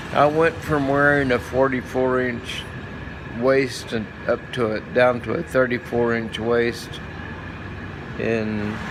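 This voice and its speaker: A man's medium-pitched voice at a very slow pace, fairly even in intonation, with long, frequent pauses, audible room echo and noticeable background noise. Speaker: vlogger, stroke survivor. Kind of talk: casual vlog monologue. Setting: walking outdoors in a courtyard. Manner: halting, searching for words.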